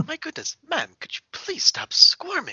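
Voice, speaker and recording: Someone does a put-on character voice at an extremely high pitch and a moderate pace. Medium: actual play. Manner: formal, polite.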